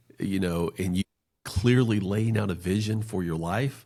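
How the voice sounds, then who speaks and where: In an American accent, a man with an unremarkable speaking voice talks at a fairly low pitch and moderate pace with lively intonation, on a very clean recording with a silent background. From North Carolina, US South. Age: 40s. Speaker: financial planner. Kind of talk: podcast interview. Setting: podcast.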